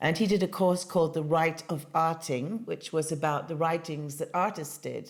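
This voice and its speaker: A British woman with a fairly low voice talks at a moderate pace, with hardly any pauses. Her intonation stays fairly even. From England. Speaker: artist. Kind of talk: interview. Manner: hesitant with fillers.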